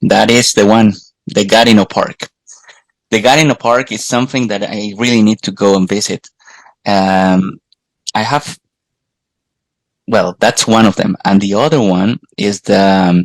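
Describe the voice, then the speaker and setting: In a Colombian accent, the speaker goes at a fairly slow pace with long, frequent pauses and fairly even intonation, in a dry, close recording with no echo. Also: man, fairly low pitch for a man. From Colombia, Bogota. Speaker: podcast host guest. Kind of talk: casual chat. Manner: halting, repeats words.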